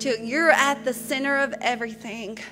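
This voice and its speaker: A woman speaks in a raised, projected voice at a moderate pace with fairly even intonation, clear music playing behind her. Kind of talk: spoken prayer. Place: church. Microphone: podium.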